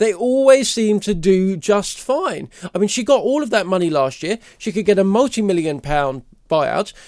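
A man's high voice with a British accent, lively intonation and a moderate pace. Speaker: commentator. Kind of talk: angry rant, indignant tirade against bank and cancel culture. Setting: studio. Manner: indignant, emphatic, scornful.

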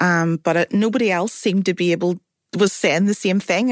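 Recorded with a dry, close sound and no echo, a woman speaks at a very fast pace in a medium-pitched voice with ordinary pitch variation. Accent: Belfast. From Northern Ireland, North Belfast. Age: 40s. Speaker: writer and producer. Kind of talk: panel discussion. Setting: studio.

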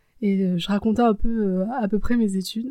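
Dark and mellow in tone, the voice moves at a fairly slow pace with fairly even intonation. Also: woman. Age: 20s. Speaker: personal storytelling podcaster. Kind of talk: personal testimony, casual spoken commentary. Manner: hesitant, with frequent fillers.

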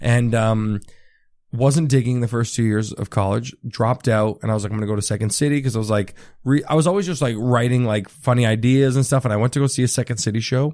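Very fast speech from a man at a medium pitch with ordinary pitch variation, in an Ontario accent, on a very clean recording with a silent background. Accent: Canadian (Ontario). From Ontario, Canada (Richmond Hill, near Toronto). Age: 20s. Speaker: stand-up comedian. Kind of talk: casual chat. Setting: host's apartment.

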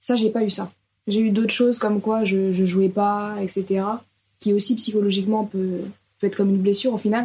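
With long, frequent pauses, a woman talks in a somewhat breathy, dark, mellow tone and a monotone, flat intonation. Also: medium pitch for a woman, fairly quick pace. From France, Orléans. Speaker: professional footballer. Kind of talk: interview. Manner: casual, hesitant.

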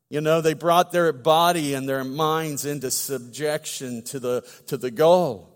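A man with a plain, everyday voice speaks at a fairly slow pace, his pitch fairly high and his intonation fairly even. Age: 50s. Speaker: pastor. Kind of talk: sermon.

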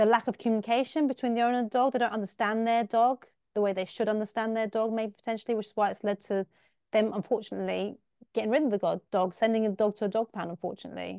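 A woman speaks very fast at a fairly high pitch, her tone dark and mellow. The sound is dry and close with no echo, the background quiet, and her intonation fairly even. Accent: English. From England. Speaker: teacher and podcast host. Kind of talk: interview.

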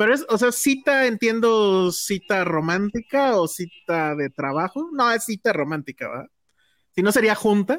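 The recording is very clean, with a silent background. The speech moves at a fairly slow pace. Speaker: film podcast co-host. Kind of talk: casual chat.

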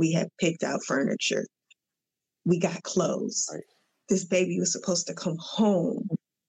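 The sound is dry and close with no echo as a woman with a fairly low pitch and vocal fry talks at a moderate pace with ordinary pitch variation. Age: 40s. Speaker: therapist. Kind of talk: casual chat.

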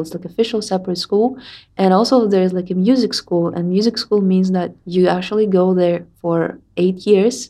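A woman's dark, mellow voice at a medium pitch, with a Russian accent, fairly even intonation and a moderate pace. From Russia, Tatarstan. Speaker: musician. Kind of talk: interview.

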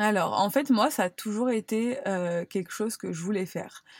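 A woman with a normal speaking voice talks at a moderate pace with ordinary pitch variation. The recording is very clean, with a silent background. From France, Cannes (Provence). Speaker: content creator. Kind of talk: casual chat.

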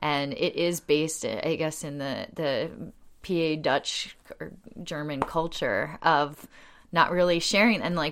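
Woman with an American accent, fairly low pitch and fairly even intonation, in a very clean recording with a silent background. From US, Delaware County outside Philadelphia. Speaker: community group founder. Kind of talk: interview conversation. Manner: loud; talkative, laughs often.

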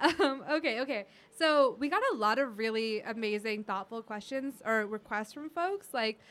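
Over music in the background, a woman with a fairly high pitch and an American accent speaks with ordinary pitch variation. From US, Indian American family. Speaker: podcast host. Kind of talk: casual chat. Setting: studio.

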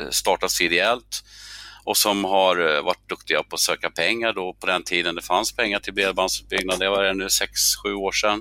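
With a bright, sharp tone and a fairly low pitch, a man talks at a moderate pace in a dry, close recording with no echo. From Stockholm, Sweden. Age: 60s. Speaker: fiber association organizer, former teacher. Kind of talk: casual interview conversation.

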